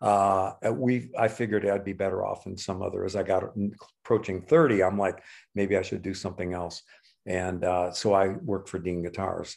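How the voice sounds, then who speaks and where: A man's fairly low, a normal speaking voice at a moderate pace, with fairly even intonation, on a very clean recording with a silent background. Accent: American. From US Midwest, Chicago. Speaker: podcast co-host, musician and guitar replica maker. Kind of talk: casual chat.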